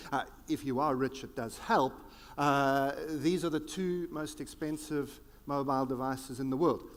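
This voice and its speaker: This very clean recording with a silent background features a man with a South African accent. His pitch is fairly high and his pace moderate. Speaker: futurist keynote speaker. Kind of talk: keynote speech. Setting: conference stage with audience. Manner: animated.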